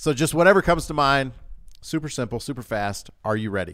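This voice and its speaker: Using an ordinary speaking voice, a man with an American accent talks in a fairly high pitch with lively intonation. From US South (Louisiana, Georgia). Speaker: podcast host. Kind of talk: scripted intro; casual interview. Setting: studio.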